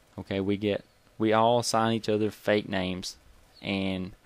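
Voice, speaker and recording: A man's monotone, flat delivery with a Southern US accent. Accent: Southern US (Georgia). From US South, Georgia. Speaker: gaming YouTuber. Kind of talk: casual storytelling. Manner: casual, conversational.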